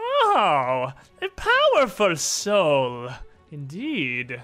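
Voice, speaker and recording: Using a put-on character voice, a man talks very slowly at a high pitch with faint music in the background. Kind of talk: villainous overacting, almost comedic. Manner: gleeful, cackling, gloating.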